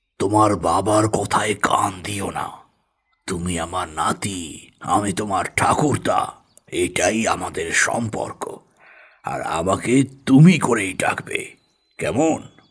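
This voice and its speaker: Putting on a character voice, a man speaks at a very slow pace with a fairly low pitch. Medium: audio drama. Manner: firm, authoritative.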